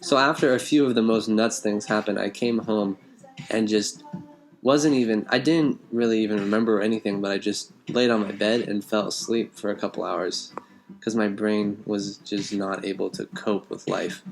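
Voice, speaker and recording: Music in the background beneath a man's voice of medium pitch. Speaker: podcast co-host. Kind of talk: casual chat.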